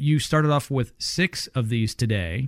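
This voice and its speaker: A man talks with ordinary pitch variation. The sound is dry and close with no echo, on a very clean recording with a silent background. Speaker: radio host. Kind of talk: sponsored home-improvement radio talk. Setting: studio. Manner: hesitant, filler-heavy.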